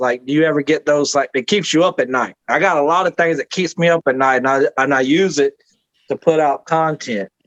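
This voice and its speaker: A fairly high-pitched man in a Southern US accent at a moderate pace, dry and close with no echo. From Georgia. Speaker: podcast host and independent wrestler. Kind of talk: casual chat. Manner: animated.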